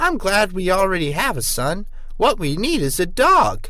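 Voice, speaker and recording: A man uses a put-on character voice, pitched high with very wide pitch swings. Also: moderate pace. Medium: read story.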